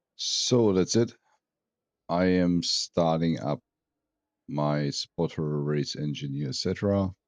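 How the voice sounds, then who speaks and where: A man with a German accent, very deep, low pitch, ordinary pitch variation, very slow pace, long, frequent pauses, a quiet background, and a dry, close sound with no echo. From Germany. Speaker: sim racing streamer. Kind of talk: live stream commentary.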